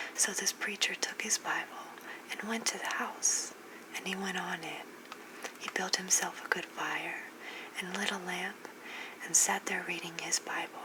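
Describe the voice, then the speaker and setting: Whispering in a gentle tone at a moderate pace, a woman leaves long, frequent pauses over noticeable background noise. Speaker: ASMR creator reading bedtime stories. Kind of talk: scary story reading, bedtime narration. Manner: gentle, whispered.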